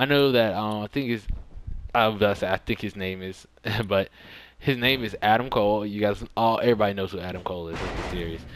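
A man at a fairly low pitch, talking at a very fast pace with ordinary pitch variation. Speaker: gaming YouTuber. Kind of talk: gameplay commentary.

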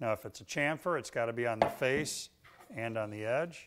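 Speaking at a fairly slow pace, a man uses a medium pitch and a clear, smooth tone.

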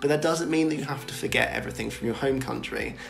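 A man speaks with a British accent over light background noise. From Britain. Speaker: vlogger. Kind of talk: casual talk to camera. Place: home room.

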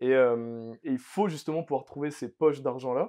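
A man talks at a moderate pace, his pitch varying in an ordinary way. Behind him, the background is quiet. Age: 20s. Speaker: entrepreneur; podcast guest. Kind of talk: interview. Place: home room.

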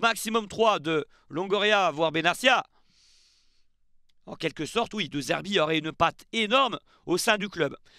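A man uses a raised, projected voice with a bright, sharp tone, high pitch and lively intonation. He goes at a fairly slow pace with long, frequent pauses, the sound dry with no echo over a quiet background. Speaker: football YouTuber; football news youtuber. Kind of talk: casual video commentary. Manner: chatty, with fillers. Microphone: headset.

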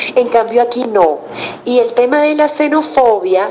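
Noticeable background noise surrounds a woman's voice. It is fairly high in pitch with ordinary pitch variation. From Venezuela. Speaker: journalist, host, announcer. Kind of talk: interview answer.

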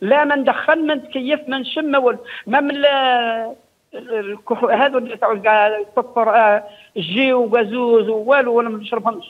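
Against a quiet background, the speaker has an Algerian accent and ordinary pitch variation. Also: man, extremely high pitch for a man, moderate pace. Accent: rural Algerian Arabic, Djelfa. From Algeria, Djelfa. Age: 60s. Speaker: caller. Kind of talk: call-in question. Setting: phone call. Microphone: phone line.

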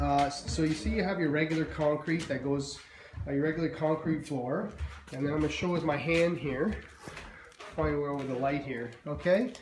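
A man at a moderate pace with ordinary pitch variation, in audible room echo over light background noise. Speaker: drainage contractor. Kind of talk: tutorial. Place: home room. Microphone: phone near.

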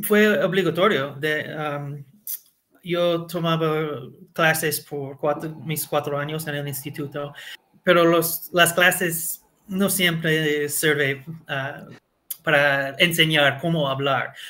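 This man talks at a very slow pace with an American accent and a fairly high pitch. His intonation stays fairly even, and his tone is bright and sharp. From US, Connecticut. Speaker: Spanish learner, former fast-food manager. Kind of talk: interview. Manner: halting, with many fillers.

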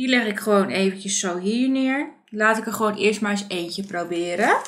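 There is light background noise. A woman talks at a very slow pace. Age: 30s. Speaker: beauty and craft vlogger; craft vlogger. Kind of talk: product review tutorial. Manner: casual, hesitant with fillers. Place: home room.

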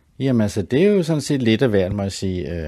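The speaker is a man. His tone is dark and mellow. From Copenhagen, Denmark (Sydhavnen). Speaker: artist and graphic designer. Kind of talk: interview. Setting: home studio. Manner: halting, many fillers and repeats.

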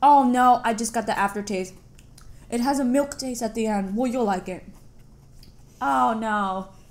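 With an American accent, the speaker goes at a moderate pace and ordinary pitch variation. Long pauses come often. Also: woman, fairly high pitch for a woman. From United States. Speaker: YouTube vlogger. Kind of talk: casual chat. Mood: playful, animated reactions. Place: home room. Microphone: camera far.

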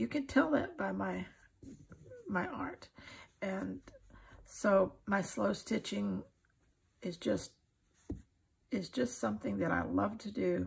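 With an American accent, a woman speaks slowly with long, frequent pauses, her medium-pitched voice showing a husky, rough edge, vocal fry and ordinary pitch variation.

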